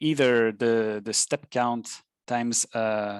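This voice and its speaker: A man talks in a French accent at a medium pitch with fairly even intonation. The sound is dry and close, with no echo. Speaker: software tutor. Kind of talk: tutorial. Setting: live webinar. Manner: halting, many fillers.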